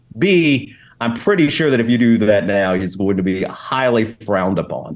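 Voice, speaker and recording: Using very wide pitch swings, a man with a Kentucky accent speaks at medium pitch and a moderate pace. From Kentucky, Louisville. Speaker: game developer and stream host. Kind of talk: casual chat.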